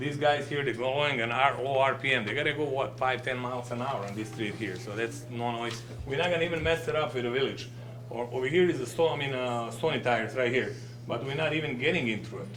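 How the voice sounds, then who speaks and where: A man with a non-native accent at a very fast pace and fairly even intonation, amid noticeable background noise and audible room echo. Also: medium pitch for a man. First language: not English. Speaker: business owner presenting to village board. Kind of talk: public presentation at board meeting. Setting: village board meeting. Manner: halting.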